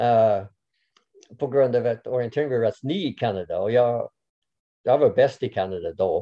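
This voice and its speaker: Long, frequent pauses break up the speech of a man with an English accent. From Canada. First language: English (speaking Swedish). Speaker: orienteering coach. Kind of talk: interview. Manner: halting, many fillers.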